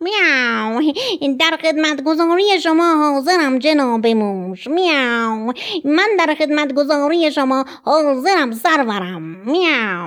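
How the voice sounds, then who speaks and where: Loud and high-pitched, a put-on character voice rings out. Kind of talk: formal, servile. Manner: loud, deferential.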